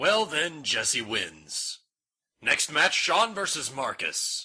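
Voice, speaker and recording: Putting on a character voice, a man speaks very slowly in a high pitch. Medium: audio drama. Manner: formal, clipped.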